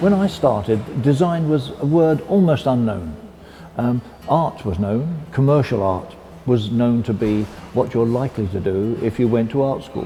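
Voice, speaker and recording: With a British accent, this voice moves at a moderate pace with lively intonation over noticeable background noise. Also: man, medium pitch for a man. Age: 80s+. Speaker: industrial designer. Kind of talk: interview answer.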